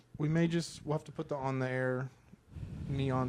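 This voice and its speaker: A man's normal speaking voice, medium in pitch, with fairly even intonation. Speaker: podcast co-host. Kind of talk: casual chat. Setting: home studio in apartment. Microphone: volume raised after being too quiet.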